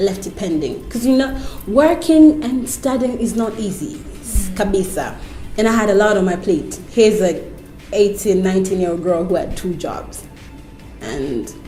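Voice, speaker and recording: Amid audible room echo and noticeable background noise, a woman at medium pitch speaks at a moderate pace with lively intonation. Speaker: TV host. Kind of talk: interview. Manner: loud, vibrant.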